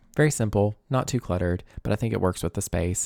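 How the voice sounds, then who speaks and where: A man with a Southern US accent speaks in a relaxed, dark, mellow tone at a fairly low pitch, in a very clean recording with a silent background and a dry, close sound with no echo. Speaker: gaming YouTuber. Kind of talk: casual gameplay commentary. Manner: soft, relaxed.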